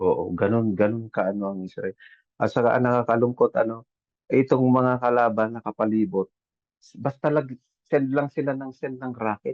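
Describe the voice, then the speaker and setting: With an unremarkable speaking voice, a man keeps a moderate pace at a medium pitch, his pitch varying in an ordinary way. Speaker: overseas Filipino worker, caregiver. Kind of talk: casual chat. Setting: video call.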